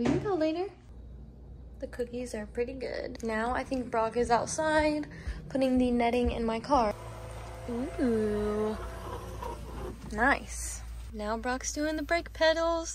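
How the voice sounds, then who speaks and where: A woman with an American accent at a very slow pace, with long, frequent pauses and noticeable background noise. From Indiana. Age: 20s. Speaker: lifestyle vlogger. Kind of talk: casual vlog chat. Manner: whispering quietly.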